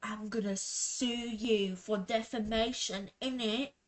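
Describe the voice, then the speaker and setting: Putting on a character voice in a British accent, a woman talks fairly slowly at a fairly high pitch in a flat monotone. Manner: threatening.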